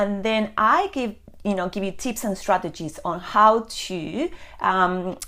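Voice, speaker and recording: Speaking at a fairly slow pace with an Argentine accent, a woman has a bright, sharp tone, medium pitch and ordinary pitch variation. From Argentina. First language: Spanish. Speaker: personal stylist. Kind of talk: live video chat to viewers. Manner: hesitant with frequent fillers.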